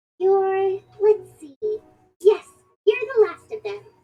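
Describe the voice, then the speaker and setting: In a put-on character voice, the speaker sounds squeaky at an extremely high pitch while moving at a fairly slow pace. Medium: video game. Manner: warm, casual.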